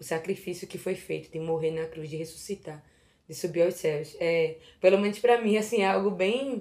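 With big swings in loudness, a woman speaks in a dark, mellow tone at a moderate pace. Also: fairly low pitch for a woman, ordinary pitch variation. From Recife, northeastern Brazil. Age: 20s. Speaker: Bible content creator on Instagram. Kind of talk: casual Bible study discussion.

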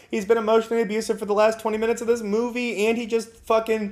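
This man, with an American accent, has a high pitch and a monotone, flat intonation. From Napa, California. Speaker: podcast co-host. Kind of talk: casual chat. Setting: recording in person together.

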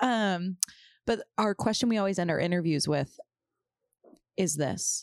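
In a very clean recording with a silent background and a dry, close sound with no echo, a woman speaks at a medium pitch with ordinary pitch variation and very even loudness, going at a fairly slow pace with long, frequent pauses. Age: 20s. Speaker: podcast co-host. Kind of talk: casual chat. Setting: studio.

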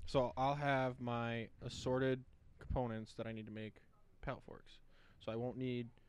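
A man mumbles in a put-on character voice at medium pitch and a moderate pace, his intonation flat and monotone. His loudness swings widely, and he leaves long, frequent pauses. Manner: mumbling.

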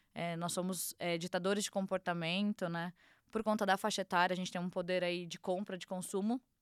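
The recording is very clean with a silent background and a dry, close sound with no echo. A woman speaks in a monotone, flat intonation at a fairly quick pace. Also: medium pitch for a woman. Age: 30s. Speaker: fashion agency founder. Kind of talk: casual chat.

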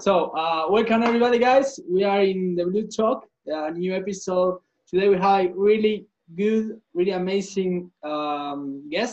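Moderate pace and ordinary pitch variation, with a Spanish accent. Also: man, high pitch for a man. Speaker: podcast host. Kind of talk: casual interview chat. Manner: halting.

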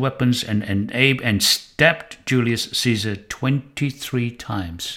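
Speaking at a fairly slow pace, a man uses an unremarkable speaking voice at medium pitch with ordinary pitch variation. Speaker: Bible teacher. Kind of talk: Bible lecture with history narration, quoting scripture verses. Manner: formal, measured, didactic.

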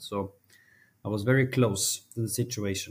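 A man with a Norwegian accent talks at a fairly quick pace with a fairly low pitch. His voice is somewhat breathy, his intonation fairly even. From Norway, small village. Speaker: mental health advocate, foundation CEO. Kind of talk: interview conversation. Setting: remote recording.

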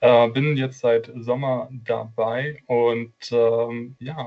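Monotone, flat intonation from a man at medium pitch. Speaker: marketing apprentice. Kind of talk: casual chat.

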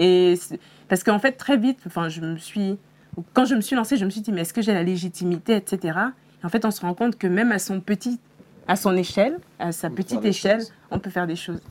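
At a fairly quick pace, a woman talks in an unremarkable speaking voice, medium in pitch with ordinary pitch variation. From Senegal. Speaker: career content creator. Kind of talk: interview.

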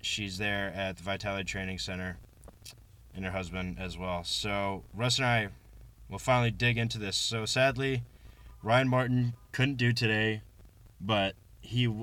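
This man's voice sits fairly low, with a bright, sharp tone and fairly even intonation. He keeps a moderate pace, broken by long, frequent pauses. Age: 20s. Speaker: podcast host and weightlifting coach. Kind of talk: casual chat. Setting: in a car.

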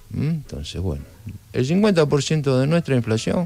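Here a man is talking. He has an Argentine accent. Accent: Argentine Spanish (Rioplatense). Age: 60s. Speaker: trade union leader and political candidate. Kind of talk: radio interview. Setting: radio studio.

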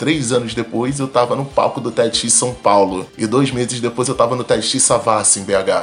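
A man speaks with fairly even intonation over music in the background. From Rio de Janeiro, Complexo do Alemão favela. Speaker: mechanical engineer and startup founder. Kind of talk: interview. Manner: casual, slangy.

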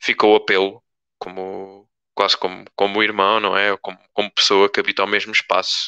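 In a European Portuguese accent, a man speaks at a moderate pace with a fairly low pitch, a bright, sharp tone and flat, monotone intonation against a quiet background. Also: dry, close sound with no echo. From Portugal, Torres Novas. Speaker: local activist. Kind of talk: live-stream panel discussion. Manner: halting, many fillers.

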